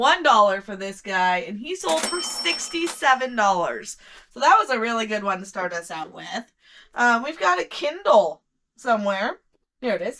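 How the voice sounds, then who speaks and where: Loud and bright, sharp in tone, a woman speaks at a fairly slow pace with fairly high pitch and very wide pitch swings. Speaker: online reseller. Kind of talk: casual sales recap vlog. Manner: casual, frequent ums.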